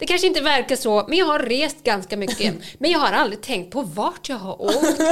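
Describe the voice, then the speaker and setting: Her high-pitched voice makes very wide pitch swings as the woman talks at a moderate pace. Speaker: podcast host. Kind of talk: casual chat.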